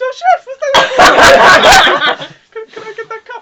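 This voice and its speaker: A put-on character voice, squeaky and extremely high-pitched, at a very slow pace. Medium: actual play.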